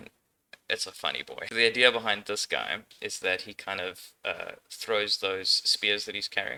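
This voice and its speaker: A man with a German accent. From Austria. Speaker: indie game developer. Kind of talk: casual dev tutorial. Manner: relaxed, frequent filler words.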